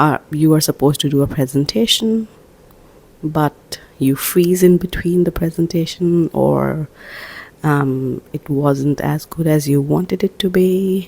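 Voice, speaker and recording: A soft-spoken woman talks at a fairly slow pace with a very deep, low pitch, a dark, mellow tone and ordinary pitch variation. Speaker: self-help vlogger. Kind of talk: casual inspirational talk. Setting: at home, early morning. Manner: soft-spoken, quiet; hesitant, many fillers.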